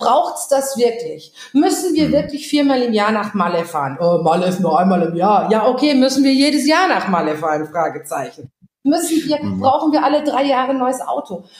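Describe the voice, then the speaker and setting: A woman's high voice, animated in tone, with very wide pitch swings, a moderate pace and noticeable background noise. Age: 40s. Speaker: social entrepreneur. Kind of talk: casual chat.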